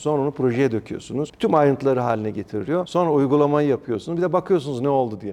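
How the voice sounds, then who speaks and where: Speaking at a very fast pace, a man has a dark, mellow tone and medium pitch. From Ankara, Turkey (Mamak). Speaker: district mayor and politician. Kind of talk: interview conversation.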